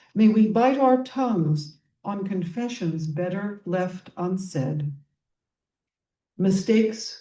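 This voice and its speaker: Speaking at a very slow pace, a woman's medium-pitched, somewhat breathy voice has a dark, mellow tone and ordinary pitch variation. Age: 80s+. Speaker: poet. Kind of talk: poetry reading.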